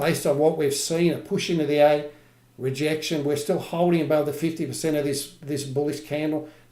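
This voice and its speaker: A man with an Australian accent, fairly high in pitch, dark and mellow in tone, flat and monotone, at a fairly quick pace amid audible room echo. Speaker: trading educator. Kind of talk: live trading tutorial. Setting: livestream.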